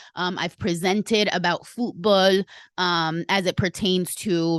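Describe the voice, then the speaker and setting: With a Spanish accent, a woman speaks at a fairly low pitch and with fairly even intonation, her voice dry and close with no echo over a quiet background. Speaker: podcast host. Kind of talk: casual podcast monologue.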